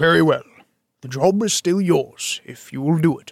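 Using a put-on character voice, a man talks at a moderate pace, pitched high, with ordinary pitch variation and big swings in loudness. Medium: read story. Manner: formal, stiff.

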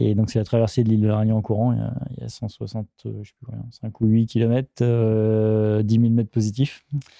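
The voice has a dark, mellow tone and monotone, flat intonation, moving at a moderate pace with big swings in loudness. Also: man, fairly low pitch for a man. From France, Rhône-Alpes region. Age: 40s. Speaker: ultra-endurance athlete and business owner. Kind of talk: interview. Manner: halting.

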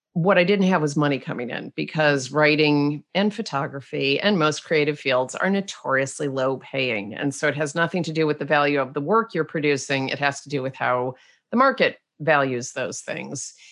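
A woman with a slight Canadian accent and a very deep, low pitch, at a moderate pace with ordinary pitch variation. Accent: slight Canadian-tinged. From Rochester, New York, US. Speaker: author and blogger. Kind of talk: interview conversation.

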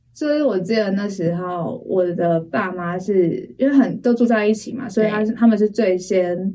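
A woman's medium-pitched voice with a Taiwanese accent, dark and mellow in tone, at a moderate pace with hardly any pauses and ordinary pitch variation. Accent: Taiwanese Mandarin. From Taiwan, Taipei. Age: 20s. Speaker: church member giving testimony. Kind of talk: testimony interview.

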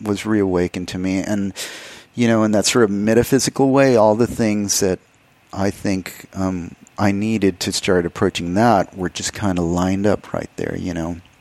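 Speaking at a moderate pace, a man with an ordinary speaking voice keeps a fairly low pitch and fairly even intonation. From Texas, El Paso. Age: 50s. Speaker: artist. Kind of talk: interview.

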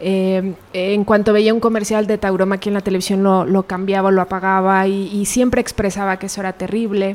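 At a fairly quick pace with hardly any pauses, a woman speaks at a medium pitch with monotone, flat intonation. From Mexico, Pachuca, Hidalgo. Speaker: animal rights organization director. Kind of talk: interview. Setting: in person.

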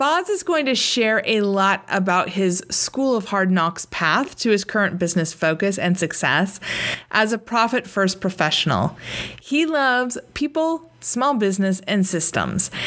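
With an ordinary speaking voice, a woman talks at medium pitch and a fairly slow pace, keeping her loudness very even. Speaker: podcast host. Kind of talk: interview, casual professional. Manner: warm, upbeat.

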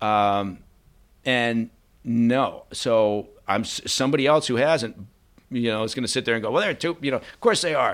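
A man speaks in an unremarkable speaking voice at a medium pitch and moderate pace. The recording is very clean, with a silent background. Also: ordinary pitch variation. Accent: American. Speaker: former intelligence officer and podcaster. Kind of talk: interview conversation. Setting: in studio. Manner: candid, opinionated.

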